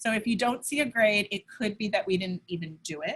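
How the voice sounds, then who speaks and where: A woman's medium-pitched, normal speaking voice, with ordinary pitch variation at a moderate pace. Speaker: elementary school teacher. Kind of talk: virtual parent information night with screen share.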